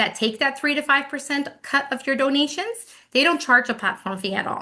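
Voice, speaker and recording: A woman with a bright, sharp tone and lively intonation at a fairly quick pace, in a quiet background. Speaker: webinar presenter. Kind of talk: webinar presentation. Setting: online webinar. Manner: fast.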